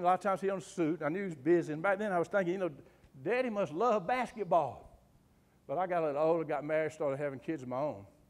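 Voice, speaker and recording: A man's animated, high-pitched voice with a Southern US accent, at a very fast pace. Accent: Southern US (Georgia). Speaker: humorist and undertaker, after-dinner speaker. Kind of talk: humorous motivational talk. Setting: club luncheon with live audience. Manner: animated, folksy.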